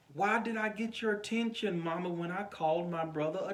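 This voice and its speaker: Soft-spoken and high-pitched, a man talks at a moderate pace with lively intonation, and audible room echo surrounds his voice. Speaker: pastor. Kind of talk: informal sermon to camera.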